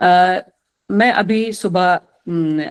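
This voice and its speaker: In an Indian accent, a woman speaks with fairly low pitch and fairly even intonation. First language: Maithili. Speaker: retired senior police officer, mentor. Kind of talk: online lecture to students, Hindi-English mix. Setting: video call. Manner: halting, many fillers.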